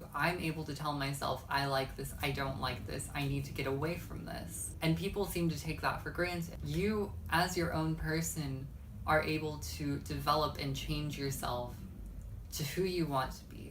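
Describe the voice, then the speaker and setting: Audible room echo surrounds the speech. The delivery is at a moderate pace. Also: woman. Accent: American. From Texas. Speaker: YouTuber. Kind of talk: vlog monologue.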